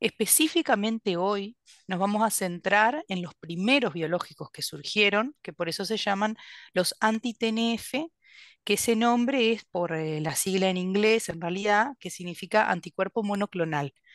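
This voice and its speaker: A woman speaks at a fairly slow pace in a Uruguayan accent, her medium pitch showing ordinary variation. The sound is dry with no echo, over a quiet background. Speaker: gastroenterologist; presenter. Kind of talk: lecture. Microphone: video call.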